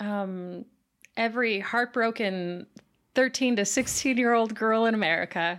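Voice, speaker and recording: In an unremarkable speaking voice, a woman speaks fairly slowly at a fairly high pitch with ordinary pitch variation, on a very clean recording with a silent background. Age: 20s. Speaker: science communications writer. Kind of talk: casual chat.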